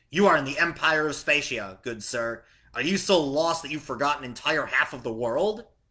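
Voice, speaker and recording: Putting on a character voice, a man talks at a moderate pace. His fairly high pitch has lively intonation. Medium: read story. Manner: curt, authoritative.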